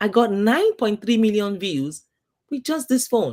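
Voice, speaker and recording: Moderate pace with a strong African accent. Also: woman. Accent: thick African. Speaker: YouTube coach. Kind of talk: interview.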